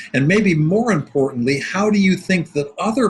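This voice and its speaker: This man's voice is somewhat breathy, with lively intonation. He talks at a moderate pace. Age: 60s. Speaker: sales coach. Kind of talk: webinar presentation. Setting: online webinar.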